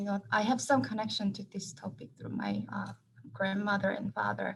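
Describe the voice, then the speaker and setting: A woman's voice with vocal fry at a fairly quick pace. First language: Korean. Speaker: professor. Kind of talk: panel discussion.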